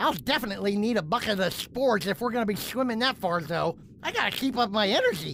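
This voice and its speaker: Amid clear background noise, a female-sounding put-on character voice rattles along at a very fast pace, fairly high and whiny in tone. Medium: audio drama. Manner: goofy, whiny.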